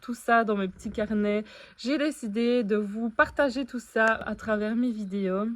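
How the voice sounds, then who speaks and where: At a moderate pace, a woman speaks in a plain, everyday voice with fairly even intonation. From Belgium. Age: 20s. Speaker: vlogger, dietitian. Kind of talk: vlog introduction.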